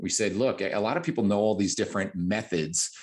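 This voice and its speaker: An unremarkable speaking voice from a man, fairly low in pitch, with an American accent, lively intonation and a quiet background. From New Jersey. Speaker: fitness coach and podcast host. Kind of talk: casual chat.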